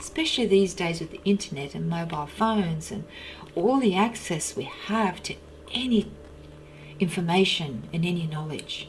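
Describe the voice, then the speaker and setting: Amid audible room echo and noticeable background noise, a woman speaks at a moderate pace in a fairly low voice with ordinary pitch variation. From China, Russian community near Mongolian border. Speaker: personal development coach. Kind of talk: personal monologue.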